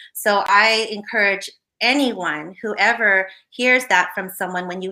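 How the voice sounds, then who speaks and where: The woman's tone is bright and sharp. Her pitch is medium. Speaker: bereaved mother and anti-violence activist. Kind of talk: interview.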